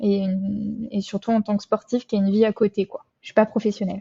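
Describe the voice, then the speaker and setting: Somewhat breathy and medium in pitch, a woman's voice stays in a monotone, flat intonation. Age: 20s. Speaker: nurse and amateur triathlete. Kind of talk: interview. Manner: hesitant, many fillers.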